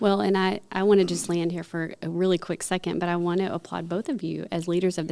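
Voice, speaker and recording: In a Texas accent, a woman talks at a very fast pace with a fairly low pitch, a dark, mellow tone and fairly even intonation. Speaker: podcast host. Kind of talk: casual chat. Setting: studio.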